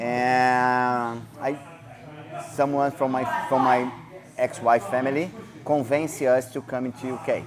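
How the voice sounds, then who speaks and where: The speaker has a non-native accent and a monotone, flat intonation. The pace is fairly slow, with noticeable background noise. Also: man, medium pitch for a man. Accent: foreign accent, non-native English. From Brazil (Rio de Janeiro). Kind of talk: casual interview. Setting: martial arts gym. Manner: halting, broken English.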